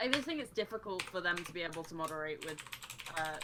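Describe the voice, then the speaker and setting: A woman with a British accent speaks very fast at a fairly low pitch, with noticeable background noise behind her. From Britain. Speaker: streamer. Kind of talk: casual chat.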